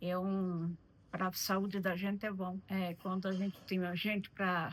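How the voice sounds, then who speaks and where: Very slowly, a woman speaks at a medium pitch with monotone, flat intonation. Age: 70s. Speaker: retired seamstress, host's mother. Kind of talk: testimony. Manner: halting.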